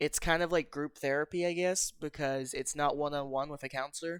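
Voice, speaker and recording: A man at a moderate pace with fairly even intonation, dry and close with no echo, on a very clean recording against a silent background. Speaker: gaming video creator. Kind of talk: casual talk to camera over gameplay. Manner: casual, hesitant.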